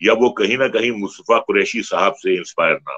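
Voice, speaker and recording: A man talks over a quiet background. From India. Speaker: film actor. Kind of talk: interview answer. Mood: reminiscent, respectful. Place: home room. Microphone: video call.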